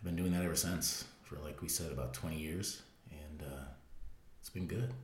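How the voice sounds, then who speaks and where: A man's very deep, low voice with vocal fry, a moderate pace, ordinary pitch variation and audible room echo. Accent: American. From US Midwest (Fremont, Ohio). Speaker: podcast co-host, fitness business owner. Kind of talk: casual chat.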